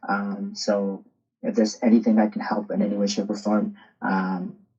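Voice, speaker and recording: A man speaks with a Spanish accent. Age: 30s. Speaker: soccer coach. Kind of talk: podcast interview.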